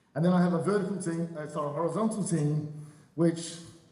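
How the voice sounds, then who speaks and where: Fairly even intonation carries very fast speech through audible room echo and noticeable background noise. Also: man. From Australia (Adelaide). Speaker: real estate broker. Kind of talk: panel discussion.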